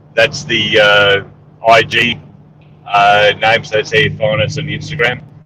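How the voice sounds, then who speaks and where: Here a man speaks with an Australian accent and a fairly low pitch. His pace is fairly slow, with ordinary pitch variation. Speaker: entrepreneur and military veteran. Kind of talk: casual interview. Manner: hesitant, many fillers.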